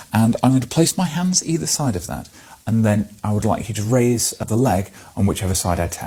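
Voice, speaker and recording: Calm and somewhat breathy, a man speaks in a dark, mellow tone at medium pitch, with very wide pitch swings. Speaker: clinical examiner or medical educator demonstrating a hip examination. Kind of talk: clinical teaching demonstration. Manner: calm, explanatory.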